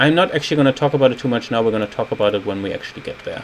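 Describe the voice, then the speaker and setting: A man talks with a German accent over noticeable background noise. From Germany. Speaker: game designer. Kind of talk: video retrospective commentary. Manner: casual, with frequent fillers.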